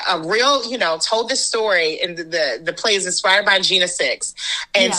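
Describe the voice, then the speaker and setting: Someone speaks with an American accent over noticeable background noise. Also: woman. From Washington, DC, USA. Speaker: actor, director and storyteller. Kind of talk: interview answer.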